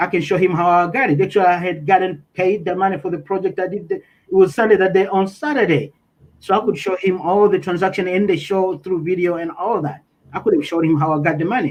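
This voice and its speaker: Talking at a very fast pace, a man uses fairly even intonation and a high pitch. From Tanzania. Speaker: interviewee. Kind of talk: interview testimony. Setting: livestream. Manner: halting, self-correcting.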